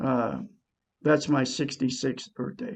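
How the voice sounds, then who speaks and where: Speaking at a very slow pace, a man uses vocal fry and lively intonation with a dark, mellow tone. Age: 60s. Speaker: self-help video blogger. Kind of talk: motivational talk to camera. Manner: animated.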